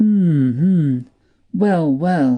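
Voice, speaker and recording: A put-on character voice at a middle pitch. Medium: read story. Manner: tired, low-key.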